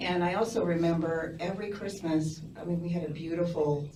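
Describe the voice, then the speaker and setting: The speaker has an American accent and a moderate pace. Audible room echo surrounds the voice. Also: woman. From US Midwest, Lincoln, Nebraska. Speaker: community member sharing memories. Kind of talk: personal storytelling. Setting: community event with audience.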